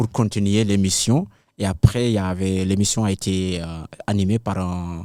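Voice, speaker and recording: A man with a fairly low voice speaks at a fairly slow pace, his intonation fairly even and his tone dark and mellow. The recording is very clean with a silent background, and the sound is dry and close with no echo. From Senegal. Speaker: kora player and griot. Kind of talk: interview answer.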